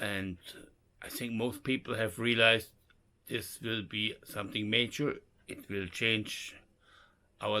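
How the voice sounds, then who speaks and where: A man speaks at a fairly slow pace with a bright, sharp tone. The recording is very clean, with a silent background. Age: 60s. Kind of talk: casual talk to camera.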